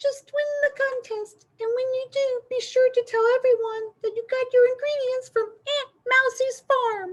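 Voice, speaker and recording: In a put-on character voice, a woman squeaks at an extremely high pitch and a moderate pace, with hardly any pauses. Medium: read story. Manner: warm, encouraging.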